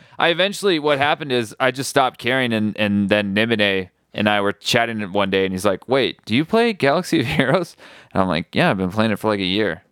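A man's very fast, lively speech in an American accent, recorded dry and close with no echo. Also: medium pitch for a man, very clean recording, silent background. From US Midwest. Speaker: podcast host. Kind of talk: casual chat.

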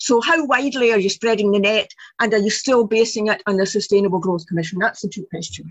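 Speaking at a very fast pace, a woman talks with a Scottish accent. Her pitch is fairly high, with ordinary variation. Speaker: audience member asking questions. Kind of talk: Q&A discussion.

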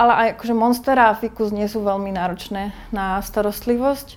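With an ordinary speaking voice, a woman speaks at medium pitch and a moderate pace with fairly even intonation. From Slovakia, High Tatras region. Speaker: plant shop owner. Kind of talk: interview.

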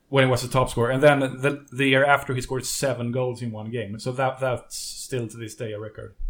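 Delivered at a fairly quick pace with hardly any pauses, the speech has a monotone, flat intonation, big swings in loudness, and a Swedish accent. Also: man, medium pitch for a man. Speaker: podcast host and interviewer. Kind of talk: interview.

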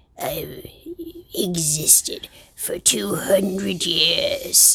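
A put-on character voice, female-sounding and gravelly, carries the whole line.

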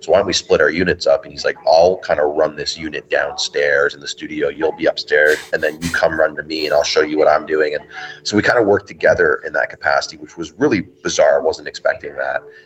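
Over noticeable background noise, a man talks at a very fast pace with hardly any pauses and big swings in loudness. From Canada. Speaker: film director. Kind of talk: interview.

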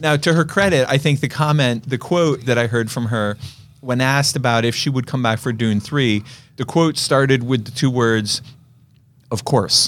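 Someone with an American accent talks at a moderate pace, using ordinary pitch variation. It is an unremarkable speaking voice on a very clean recording with a silent background. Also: man, medium pitch for a man. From Eastern Pennsylvania. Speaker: podcast host, film reviewer. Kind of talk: casual chat.

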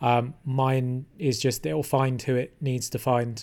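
A man with a London accent speaks in a medium pitch with fairly even intonation. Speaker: podcast host and former tattoo artist. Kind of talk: casual interview.

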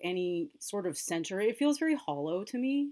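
A woman with a Californian accent speaks at a moderate pace, her pitch swinging very widely, on a very clean recording with a silent background. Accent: Californian American. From Los Angeles, US West Coast. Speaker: music journalist and editor. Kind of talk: interview conversation.

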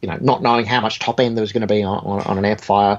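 A man's fairly low voice with an Australian accent. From Australia, Sydney (born in Egypt, emigrated aged eight). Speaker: guitar amp and pedal designer. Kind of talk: casual interview chat. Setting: video call.

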